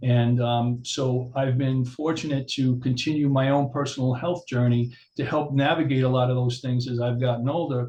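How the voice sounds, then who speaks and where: Speaking at a moderate pace with hardly any pauses, a man uses a somewhat breathy, medium-pitched voice, very even loudness and monotone, flat intonation. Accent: American. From New York, Long Island. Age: 60s. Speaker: chiropractor. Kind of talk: interview. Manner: hesitant, filler-heavy.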